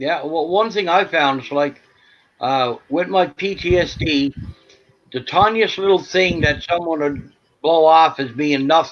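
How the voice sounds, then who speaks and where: This man has a normal speaking voice, fairly high in pitch, with ordinary pitch variation and a fairly slow pace. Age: 60s. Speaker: veteran with PTSD. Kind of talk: casual chat.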